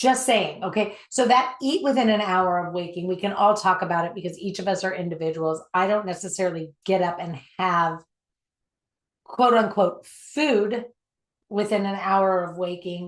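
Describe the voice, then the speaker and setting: A woman speaks at a medium pitch and moderate pace. Hers is an unremarkable speaking voice with ordinary pitch variation. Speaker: self-development coach. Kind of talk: online workshop. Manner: many fillers and repetitions.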